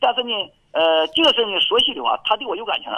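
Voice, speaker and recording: A man with an extremely high pitch speaks with very wide pitch swings. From rural Pulandian, Liaoning. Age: 50s. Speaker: caller. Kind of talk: call-in conversation. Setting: phone call. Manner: halting.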